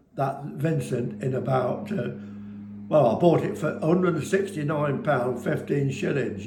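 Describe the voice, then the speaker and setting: The speech moves at a fairly slow pace with ordinary pitch variation. Room echo is audible. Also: man. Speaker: business owner, former railway fireman. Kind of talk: casual chat to camera. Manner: animated.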